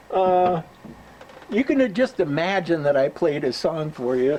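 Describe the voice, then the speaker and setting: Noticeable background noise runs throughout. The man speaks fairly slowly, his pitch varying in an ordinary way. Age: 70s. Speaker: storyteller. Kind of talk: casual storytelling monologue. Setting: outdoors by a visitor cabin. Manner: halting, many fillers.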